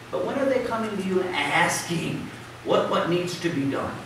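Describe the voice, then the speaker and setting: Strong room echo and noticeable background noise surround a man with an American accent speaking at a moderate pace. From US South. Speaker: preacher. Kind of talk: sermon. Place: church.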